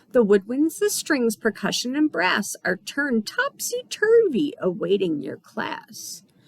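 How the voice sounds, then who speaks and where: A woman puts on a character voice, high-pitched and fairly slow, with hardly any pauses. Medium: read story. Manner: rhyming, taunting, giggly.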